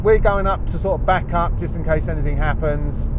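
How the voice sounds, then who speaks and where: With a dry sound free of echo, a man speaks at a fairly quick pace over loud background noise. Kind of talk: commentary. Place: car.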